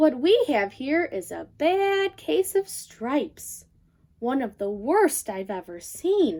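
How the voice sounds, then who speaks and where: In a put-on character voice with a gentle tone, the speaker goes fairly slowly, with very wide pitch swings and big swings in loudness. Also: woman, high pitch for a woman. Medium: read story. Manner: gentle, bright.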